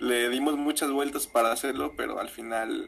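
The voice has a Mexican accent. It moves at a moderate pace. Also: man. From Mexico, Zamora region (Michoacán). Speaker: podcaster. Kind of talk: casual chat.

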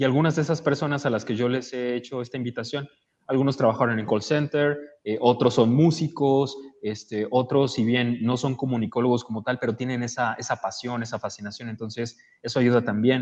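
A man speaks in a normal speaking voice at a medium pitch, with fairly even intonation. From Mexico City, Iztapalapa. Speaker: podcaster and audiobook producer. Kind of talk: casual chat.

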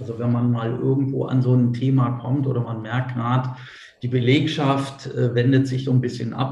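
Heard with audible room echo, a man talks at a medium pitch and moderate pace, his intonation fairly even. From Germany, Göttingen. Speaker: businessman. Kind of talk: interview.

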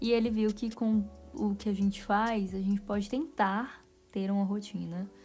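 With a dark, mellow tone and a somewhat breathy quality, a woman at medium pitch speaks at a fairly slow pace with fairly even intonation. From Fortaleza, Brazil (Northeast). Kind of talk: interview.

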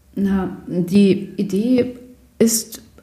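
A woman's voice carries audible room echo. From Germany. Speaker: theatre director. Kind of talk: interview. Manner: halting, many fillers.

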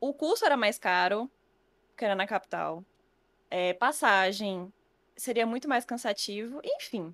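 A woman's fairly high voice at a fairly slow pace, broken by long, frequent pauses. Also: ordinary pitch variation. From Brazil, Federal District surroundings. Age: 20s. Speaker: esports presenter and influencer. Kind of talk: casual chat. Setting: live-streamed podcast studio.

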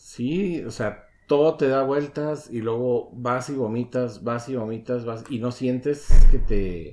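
A man talks at a medium pitch and a very slow pace. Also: ordinary pitch variation. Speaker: podcast co-host. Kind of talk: casual chat. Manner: animated.

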